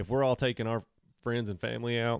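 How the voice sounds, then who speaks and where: A man with an Arkansas accent at a fairly quick pace, dry and close with no echo, on a very clean recording with a silent background. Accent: southern US (Arkansas). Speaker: podcast guest. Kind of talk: casual chat.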